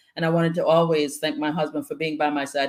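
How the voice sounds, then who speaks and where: Talking at a very fast pace, a woman with an American accent has a very deep, low pitch. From Antigua, then South Bronx, New York City. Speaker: guest speaker. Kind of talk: casual interview chat.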